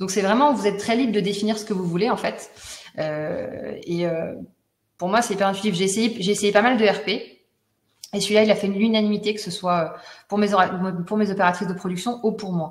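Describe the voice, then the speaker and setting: This woman talks at a fairly quick pace yet leaves long, frequent pauses, her voice somewhat breathy. Her intonation stays fairly even, and audible room echo surrounds her. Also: medium pitch for a woman. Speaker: honey business owner giving customer testimonial. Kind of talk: testimony in a webinar. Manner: fast.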